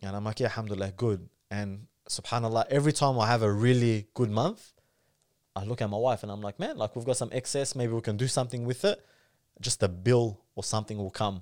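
A man's medium-pitched voice with an Australian accent at a very fast pace, with fairly even intonation, in a very clean recording over a silent background. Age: 30s. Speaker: comedian and content creator. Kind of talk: casual chat.

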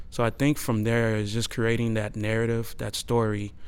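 Medium-pitched man's voice with an American accent at a moderate pace. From Houston, Texas. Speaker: architect. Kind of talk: interview.

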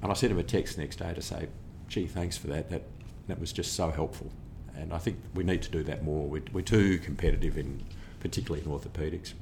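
With an Australian accent, a man with a very deep, low pitch and ordinary pitch variation talks at a very fast pace in a somewhat breathy voice, with audible room echo. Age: 60s. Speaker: orthopaedic surgeon. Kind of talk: interview.

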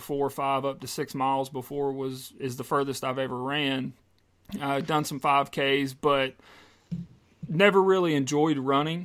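A man at a moderate pace, fairly high in pitch, with a plain, everyday voice and an American accent, on a very clean recording with a silent background. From US South, South Carolina. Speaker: podcast co-host, salesman and personal trainer. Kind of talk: casual chat.

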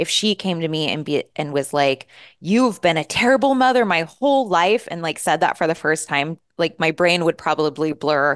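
A woman with a fairly low voice talks at a moderate pace, her tone animated and her intonation lively. The sound is dry and close with no echo, against a quiet background. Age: 40s. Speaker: business coach. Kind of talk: interview.

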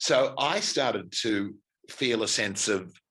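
A man speaks with an Australian accent in a bright, sharp tone. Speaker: stage actor and director. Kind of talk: interview. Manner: halting.

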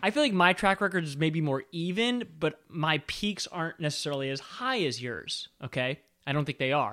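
On a very clean recording with a silent background, a man speaks in a plain, everyday voice at a fairly high pitch. His pace is moderate, with lively intonation and hardly any pauses. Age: 30s. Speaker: film podcast host. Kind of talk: casual chat.

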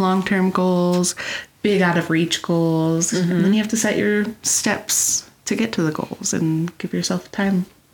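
Noticeable background noise sits behind a woman's voice. Her intonation is fairly even and her loudness very even. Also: medium pitch for a woman, fairly slow pace. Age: 30s. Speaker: quilting podcast co-host. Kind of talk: casual chat.

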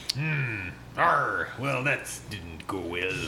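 Over clear background noise, a man does a put-on character voice. His pitch sits fairly low. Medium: actual play. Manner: gruff, grumbling.

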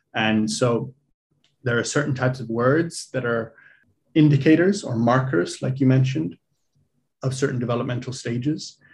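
A somewhat breathy man at a moderate pace, with long, frequent pauses. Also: medium pitch for a man, ordinary pitch variation. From Ireland (Dublin), childhood also in Africa. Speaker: executive coach and entrepreneur. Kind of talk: casual interview.

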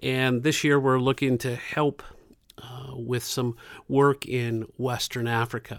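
A man speaks very slowly at a medium pitch in a flat monotone. The recording is very clean, with a silent background. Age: 50s. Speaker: community center director. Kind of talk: interview.

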